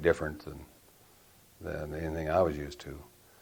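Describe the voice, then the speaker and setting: A man with an American accent. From Arizona, USA. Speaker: retired Air Force general. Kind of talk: oral history interview answer.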